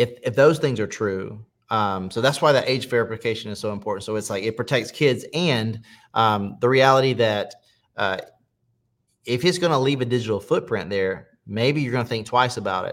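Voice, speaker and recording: On a very clean recording with a silent background, a man with an American accent and a normal speaking voice talks at a moderate pace, medium pitch and ordinary pitch variation. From US South, South Carolina. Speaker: preacher and former adult film actor. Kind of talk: testimony.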